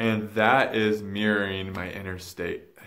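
A man talks at a very slow pace in a fairly low pitch. The background is quiet. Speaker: spiritual vlogger. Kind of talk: casual vlog chat. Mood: reflective, earnest. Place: home room. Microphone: phone near.

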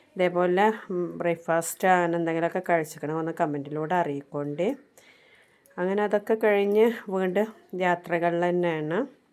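An unremarkable speaking voice from a woman, fairly low in pitch with fairly even intonation, on a very clean recording with a silent background. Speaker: vlogger. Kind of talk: travel vlog narration. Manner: casual, conversational.

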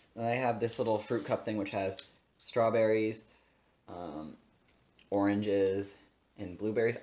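Fairly even intonation in a man's fairly low-pitched voice. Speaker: food vlogger. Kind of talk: casual vlog chat. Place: kitchen.

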